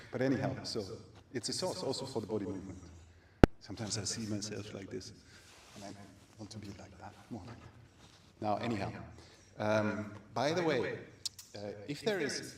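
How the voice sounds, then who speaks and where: A man with a German accent and a fairly low pitch, talking at a fairly quick pace with long, frequent pauses, big swings in loudness and ordinary pitch variation, amid audible room echo and noticeable background noise. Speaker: aikido teacher. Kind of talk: class announcements. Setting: martial arts class, livestream. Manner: halting.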